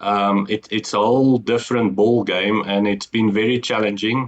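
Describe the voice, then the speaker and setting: Keeping a moderate pace, a man speaks in a fairly low pitch with fairly even intonation. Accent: Afrikaans South African. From South Africa. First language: Afrikaans. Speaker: entrepreneur. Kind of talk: interview. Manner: halting.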